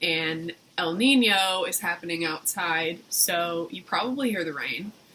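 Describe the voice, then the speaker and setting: Over noticeable background noise, a woman talks at a fairly slow pace and fairly low pitch with ordinary pitch variation. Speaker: vlogger. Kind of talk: casual chat.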